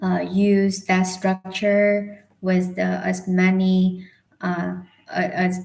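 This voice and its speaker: Quietly, a woman speaks at medium pitch in a monotone, flat intonation. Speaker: English learner livestreamer. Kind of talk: casual livestream chat. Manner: slow; quiet, halting.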